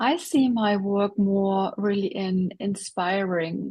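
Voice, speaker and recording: The voice is somewhat breathy and moves at a very slow pace with ordinary pitch variation. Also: woman. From Germany. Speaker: coach and speaker. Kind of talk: interview. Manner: halting.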